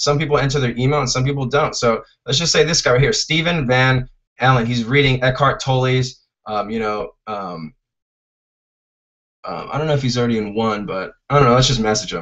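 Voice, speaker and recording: With a Californian accent, a man talks at a fairly quick pace at a medium pitch with ordinary pitch variation. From California, Fresno. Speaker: online marketing trainer. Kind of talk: live webinar tutorial. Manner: casual, filler-heavy.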